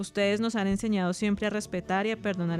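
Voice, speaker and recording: A woman of medium pitch talks at a very fast pace in a monotone, flat intonation. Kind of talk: radio drama.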